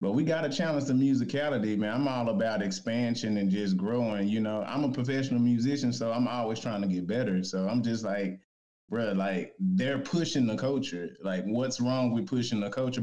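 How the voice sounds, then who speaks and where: Using an ordinary speaking voice, a man talks with an American accent at medium pitch. His pitch variation is ordinary and his pace moderate. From Dallas, Texas. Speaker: professional musician. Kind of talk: casual chat. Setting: remote call-in.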